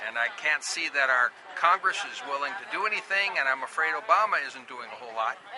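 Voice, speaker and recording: With an American accent, a man speaks at a fairly quick pace and fairly high pitch, his pitch swinging very widely and his loudness shifting greatly, over noticeable background noise. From Minnesota. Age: 60s. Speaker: protester. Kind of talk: street interview. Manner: animated.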